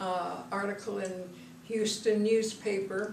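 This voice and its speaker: A woman's fairly high voice in an American accent, with audible room echo and noticeable background noise. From Texas. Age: 80s+. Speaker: author. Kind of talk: personal storytelling. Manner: halting.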